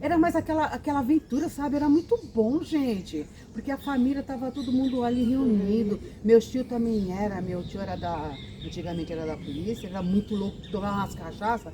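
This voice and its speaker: Over noticeable background noise, a woman talks at a fairly quick pace in an animated tone. Her fairly high-pitched voice makes very wide pitch swings. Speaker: grandmother storyteller on a chat channel. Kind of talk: casual group chat.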